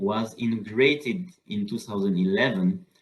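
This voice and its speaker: A medium-pitched man with a French accent, lively intonation and a fairly slow pace. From southern France. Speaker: solar energy researcher and professor. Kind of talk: lecture. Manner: halting, with many fillers.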